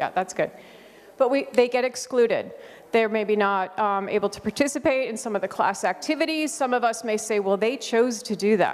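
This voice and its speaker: An ordinary speaking voice from a woman with an American accent, fairly high in pitch with ordinary pitch variation, at a moderate pace. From United States. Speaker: conference speaker on school behavior support. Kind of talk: conference presentation.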